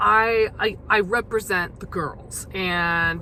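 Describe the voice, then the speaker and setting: A woman is talking. Her voice is medium in pitch with ordinary pitch variation. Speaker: podcast host. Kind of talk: casual monologue. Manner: hesitant, many fillers.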